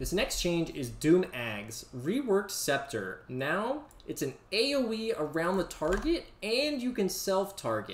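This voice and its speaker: Noticeable background noise runs under the clip. A man speaks with very wide pitch swings. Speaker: game coach and video creator. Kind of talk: patch notes commentary with gameplay demo. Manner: casual, filler-heavy.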